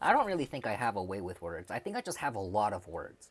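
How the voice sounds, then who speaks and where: With a Midwestern accent, a man speaks at a fairly quick pace in a fairly low voice. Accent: American, Midwestern. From US Midwest, Chicago. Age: 20s. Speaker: streamer. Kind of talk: casual livestream chat. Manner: hesitant, many fillers.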